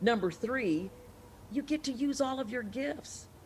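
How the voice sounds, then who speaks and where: A woman is talking, and noticeable background noise can be heard around her. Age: 60s. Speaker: journalist, talk show host and actor. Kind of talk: casual chat. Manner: animated.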